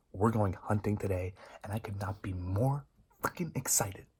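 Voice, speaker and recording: A quiet, somewhat breathy man's voice of fairly low pitch, on a very clean recording with a silent background. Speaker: hunting vlogger. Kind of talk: vlog to camera. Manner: quiet, hushed.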